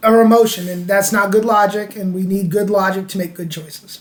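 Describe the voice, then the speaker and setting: A man with an American accent and a high pitch, fairly even intonation, and audible room echo. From US South. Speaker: podcast co-host. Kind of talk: casual chat.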